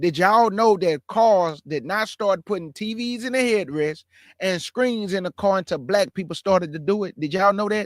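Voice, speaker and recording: Recorded very cleanly against a silent background with a dry, close sound and no echo, a man speaks at a moderate pace in a high pitch with ordinary pitch variation. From Texas, Houston. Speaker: religious commentary streamer. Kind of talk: reaction commentary. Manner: animated.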